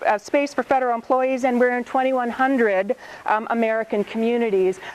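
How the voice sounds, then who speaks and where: High-pitched woman at a fairly quick pace, with ordinary pitch variation, over noticeable background noise. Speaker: government knowledge management director. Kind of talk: conference presentation. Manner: fast.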